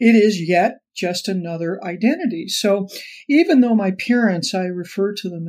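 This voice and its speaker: A woman talks in an ordinary speaking voice with an American accent. Her pitch is medium and her pace moderate. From Los Angeles, US. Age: 60s. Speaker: author, former cult member. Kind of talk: interview conversation.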